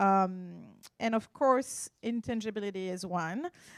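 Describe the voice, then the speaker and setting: Lively intonation colors this voice with a French accent. The pace is fairly slow. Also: woman. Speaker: art appraiser. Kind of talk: conference talk. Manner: halting.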